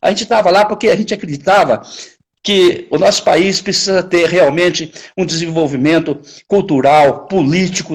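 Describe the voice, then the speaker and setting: The speaker is a man with a high pitch. He talks at a fairly slow pace with ordinary pitch variation. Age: 70s. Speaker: puppeteer. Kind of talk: interview. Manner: halting.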